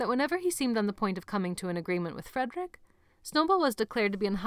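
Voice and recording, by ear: A passage read aloud in a natural voice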